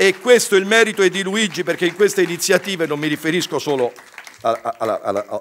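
At a fairly quick pace yet with long, frequent pauses, a man speaks in an animated tone at a high pitch with ordinary pitch variation over light background noise. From Venice, Italy; Italy. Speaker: journalists' union leader; speaker. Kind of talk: impassioned speech. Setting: stage with audience. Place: hall. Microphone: podium.

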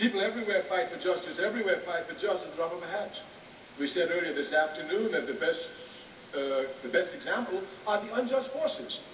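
Light background noise and audible room echo fill the recording. A man speaks at a very fast pace. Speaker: speaker. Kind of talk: public lecture. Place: hall. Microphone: old recording.

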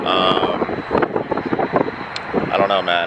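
A man talks at a moderate speed, the sound dry with no echo despite loud background noise. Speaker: travel vlogger. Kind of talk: casual vlog chat. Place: street. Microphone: phone near.

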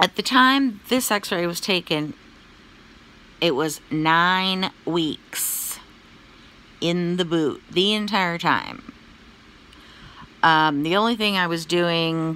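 Speaking at a very slow pace with long, frequent pauses, a woman uses a bright, sharp tone, a fairly low pitch and ordinary pitch variation, in a dry sound with no echo. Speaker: vlogger giving health update. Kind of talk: casual vlog chat. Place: home room. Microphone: phone near.

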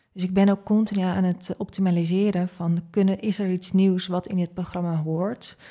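Against a quiet background, a woman speaks at a moderate pace in a dark, mellow tone with monotone, flat intonation. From Netherlands, Groningen; Netherlands. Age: 30s. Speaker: leadership coach and entrepreneur; leadership coach. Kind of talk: interview conversation. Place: studio. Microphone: studio mic.

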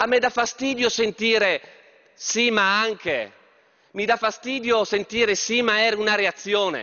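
Over a quiet background, a man with a high voice talks at a fairly slow pace, his loudness very even and his intonation fairly even. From Trieste, north-east Italy; Italy. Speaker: politician. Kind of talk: parliamentary speech. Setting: parliament chamber. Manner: formal. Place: hall. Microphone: podium.

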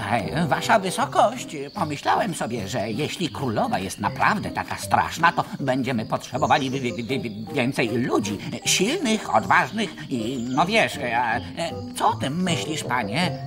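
Loud background noise sits behind this cartoonish character voice. The pace is moderate. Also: man, medium pitch for a man. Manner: stammering, fussy.

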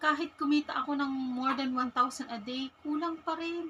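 A raised, projected voice with fairly even intonation. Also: woman. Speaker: vlogger. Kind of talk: casual vlog.

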